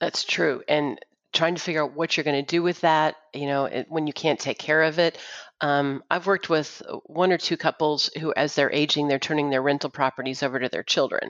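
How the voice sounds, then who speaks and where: A woman's very deep, low voice in an American accent, with fairly even intonation and a fairly quick pace. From Austin, Texas. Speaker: financial advice line team member. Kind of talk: casual chat.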